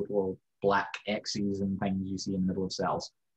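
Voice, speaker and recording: At a moderate pace, a man with a Scottish accent speaks in a fairly low pitch. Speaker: science lecturer, foundation director. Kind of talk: educational lecture. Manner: casual, humorous.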